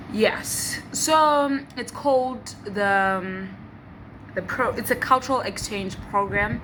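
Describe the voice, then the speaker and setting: Speech at a very slow pace carries lively intonation amid audible room echo. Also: woman, fairly high pitch for a woman. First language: Xhosa. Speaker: vlogger. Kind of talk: casual vlog talk. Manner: hesitant, many fillers and restarts.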